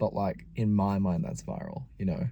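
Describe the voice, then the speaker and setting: A man in an Australian accent, with vocal fry, a dark, mellow tone and a moderate pace. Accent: sounds Australian rather than American. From US Midwest, Saint Paul, Minnesota. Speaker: travel vlogger. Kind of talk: casual vlog narration.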